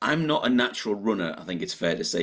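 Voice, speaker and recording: A man talks at a moderate pace with lively intonation in a very clean recording with a silent background. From northeast England. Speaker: motivational speaker and author. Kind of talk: podcast interview.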